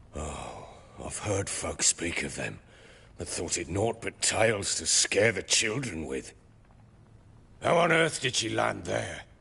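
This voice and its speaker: A man's put-on character voice, raspy and very deep, with very wide pitch swings, a fairly slow pace and long, frequent pauses over a quiet background. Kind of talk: archaic gruff speech. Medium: video game. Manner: coarse, blustering, swears often.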